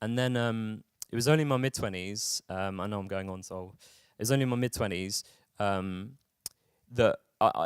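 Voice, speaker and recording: A man speaks with a London accent and ordinary pitch variation. The recording is very clean and dry, with a silent background and a close sound with no echo. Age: 30s. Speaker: mental health campaigner. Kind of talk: talk. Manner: halting, many repetitions and fillers.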